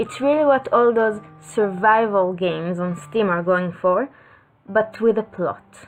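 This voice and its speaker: Backed by music, a woman with a non-native accent speaks at a fairly slow pace with lively intonation. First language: not English. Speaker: video game reviewer. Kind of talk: scripted narration.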